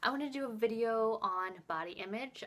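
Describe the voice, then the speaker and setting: A quiet woman's voice with ordinary pitch variation. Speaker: mommy vlogger. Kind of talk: casual vlog talk. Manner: hesitant, with fillers.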